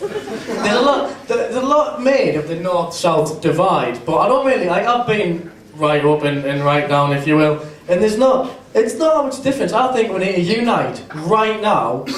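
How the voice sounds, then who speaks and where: A man with a strong Geordie accent talks at a moderate pace in a high pitch with very wide pitch swings. Noticeable background noise and audible room echo surround him. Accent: northeast English (Geordie), strong. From northeast England. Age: 20s. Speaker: student stand-up comedian. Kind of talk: stand-up. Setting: stage with audience.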